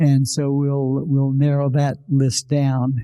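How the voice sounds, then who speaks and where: The man's fairly high voice carries a dark, mellow tone. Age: 80s+. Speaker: retired physician. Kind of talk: live interview. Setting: stage with audience.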